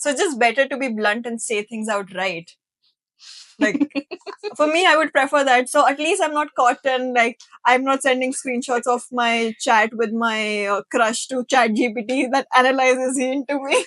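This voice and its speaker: With ordinary pitch variation, a woman speaks in a high voice, and the sound is dry and close with no echo. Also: moderate pace. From India. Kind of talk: podcast conversation. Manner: casual, chatty.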